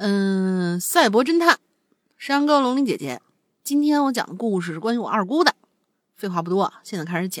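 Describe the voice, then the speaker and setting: At a moderate pace, a woman with a fairly high pitch swings widely in both pitch and loudness, recorded very cleanly against a silent background with a dry, close sound and no echo. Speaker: co-host. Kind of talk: casual chat, reading listener stories.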